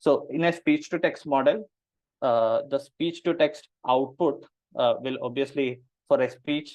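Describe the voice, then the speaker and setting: In a Keralan accent, a man speaks at a moderate pace. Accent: Indian English, Malayali. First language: Malayalam. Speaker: machine learning engineer presenting a paper. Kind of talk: technical presentation. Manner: hesitant, many fillers.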